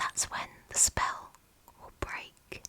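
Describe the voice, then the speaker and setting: Whispering in an English accent, a woman speaks very slowly in a calm tone. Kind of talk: fairy tale bedtime story narration. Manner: whispered; soft, calm, slow.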